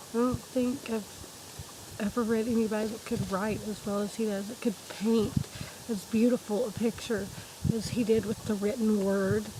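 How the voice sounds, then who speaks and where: A woman with a fairly high pitch speaks with long, frequent pauses. Noticeable background noise is present. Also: moderate pace. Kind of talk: casual talk to camera.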